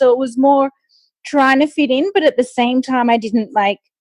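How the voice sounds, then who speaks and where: A woman with an Australian accent at a fairly quick pace, in a dry, close sound with no echo. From Australia, Sydney. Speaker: nutritionist and long-distance runner. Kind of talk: interview conversation. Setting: podcast interview.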